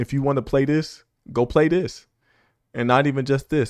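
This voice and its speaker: A man speaks at a fairly quick pace and medium pitch against a quiet background. His tone is animated, with ordinary pitch variation. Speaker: gaming reaction youtuber. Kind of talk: casual reaction commentary. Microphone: close to the mic.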